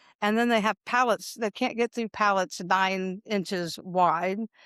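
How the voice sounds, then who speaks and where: An unremarkable speaking voice with ordinary pitch variation moves at a moderate pace, recorded very cleanly against a silent background with a dry, close sound and no echo. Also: woman. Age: 60s. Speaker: pest control business owner and dog trainer. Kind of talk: interview. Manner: casual, conversational.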